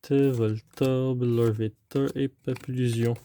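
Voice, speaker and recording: In a Quebec accent, a man speaks with a dark, mellow tone and monotone, flat intonation, the sound dry and close with no echo. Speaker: trading card unboxing youtuber. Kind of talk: casual unboxing commentary. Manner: hesitant, many fillers.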